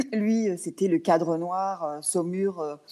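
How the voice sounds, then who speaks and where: Delivered at a very slow pace, the voice has a dark, mellow tone. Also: woman. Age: 60s. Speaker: equine coach. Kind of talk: interview. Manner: hesitant, many fillers.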